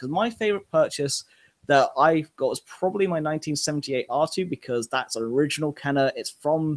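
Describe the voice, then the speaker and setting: Speaking with a southern English accent, a man uses lively intonation at a fairly quick pace. The sound is dry and close, with no echo. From southern England. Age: 20s. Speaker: podcast host. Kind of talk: casual chat.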